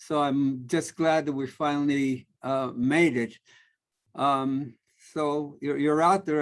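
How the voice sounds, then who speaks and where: A man in a New York accent, fairly slow and with fairly even intonation, against a quiet background. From New York City (Harlem, South Bronx), Puerto Rican family. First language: Spanish. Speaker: family therapist. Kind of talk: lecture. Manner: halting, many fillers.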